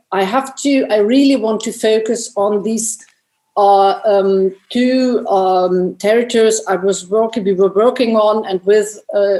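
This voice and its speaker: At a fairly slow pace, a woman with a fairly high pitch, a dark, mellow tone and fairly even intonation speaks with a non-native accent. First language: not English. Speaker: anthropologist and filmmaker. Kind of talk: panel discussion. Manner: halting, many repetitions and restarts.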